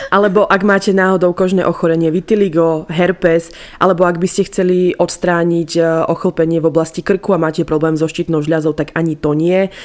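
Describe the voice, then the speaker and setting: A fairly low-pitched woman at a fairly quick pace, in a flat monotone with very even loudness. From eastern Slovakia. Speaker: podcast co-host. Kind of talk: casual chat.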